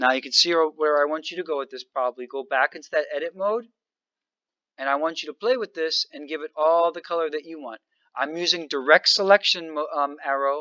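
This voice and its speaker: A man with a fairly high pitch speaks at a fairly quick pace, with ordinary pitch variation. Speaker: high school teacher. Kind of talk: tutorial. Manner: fast.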